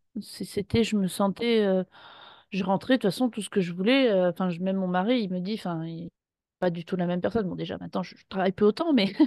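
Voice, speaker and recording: Speaking fairly quickly against a quiet background, a woman has a medium-pitched voice with a dark, mellow tone, ordinary pitch variation and big swings in loudness. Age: 30s. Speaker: former pastry chef retraining as massage therapist. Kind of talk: interview testimony. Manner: halting.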